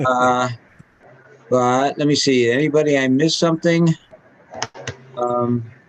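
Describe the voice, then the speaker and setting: Fairly even intonation at a fairly slow pace, with long, frequent pauses and noticeable background noise. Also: man, medium pitch for a man. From Ireland. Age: 70s. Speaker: amateur radio operator, guest speaker. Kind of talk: club talk over video call. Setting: video call. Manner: halting, filler-heavy.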